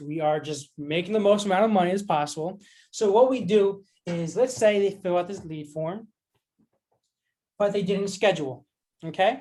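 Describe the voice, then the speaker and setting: The man's voice sits high in pitch. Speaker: online marketing coach. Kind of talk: tutorial. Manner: fast; casual.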